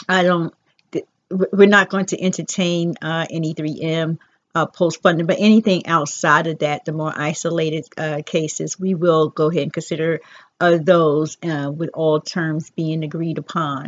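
A woman speaks in a plain, everyday voice at a fairly low pitch. Her pace is moderate and her intonation fairly even. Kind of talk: casual vlog chat. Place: home room. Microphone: headset.

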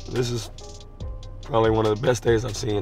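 A man speaks with fairly even intonation over faint background music, the sound dry with no echo. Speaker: vlog host. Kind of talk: casual vlog chat. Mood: relaxed, playful. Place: car.

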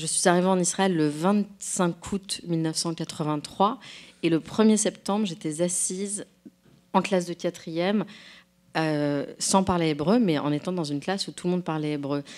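A woman's plain, everyday voice, a plain, everyday voice of fairly low pitch, with ordinary pitch variation, a fairly slow pace and a quiet background. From France. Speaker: novelist and translator. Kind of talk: public conversation. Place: hall.

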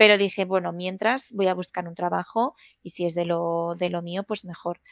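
A woman speaks at a moderate pace with fairly even intonation. The background is quiet and the sound is dry with no echo. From Madrid, Spain; Spain. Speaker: food technologist; interview guest. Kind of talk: interview. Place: home room. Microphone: headset.

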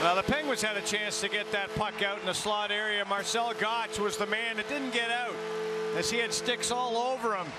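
A raised, projected voice at a fairly quick pace, with very even loudness and fairly even intonation, amid noticeable background noise. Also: man, high pitch for a man. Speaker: color commentator. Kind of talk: live commentary. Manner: conversational, analytical, explaining plays.

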